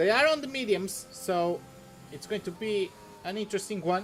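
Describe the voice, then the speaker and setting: With music in the background, a high-pitched man speaks in a Portuguese accent with lively intonation. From Portugal. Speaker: esports commentator. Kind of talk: live commentary.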